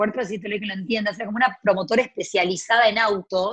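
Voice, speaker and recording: This woman talks very fast at a medium pitch. Her pitch varies in an ordinary way. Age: 40s. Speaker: entrepreneur and blogger. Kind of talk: interview. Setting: video call. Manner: animated.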